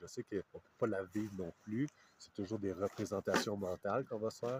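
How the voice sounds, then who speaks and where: A man with a Quebec accent, fairly low in pitch, with fairly even intonation in a dry, close sound with no echo. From Quebec, Canada. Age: 30s. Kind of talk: interview answer. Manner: hesitant, reflective, many fillers.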